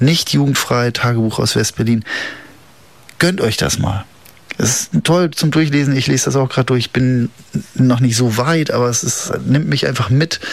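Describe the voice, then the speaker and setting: Against noticeable background noise, a man speaks at a medium pitch and moderate pace with ordinary pitch variation and long, frequent pauses. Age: 40s. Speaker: community radio host. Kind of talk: casual radio chat. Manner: casual, hesitant with many fillers.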